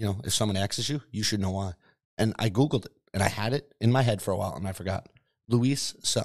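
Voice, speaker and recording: A very fast, somewhat breathy male voice, fairly low in pitch with ordinary pitch variation. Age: 30s. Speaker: podcast co-host. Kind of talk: casual banter.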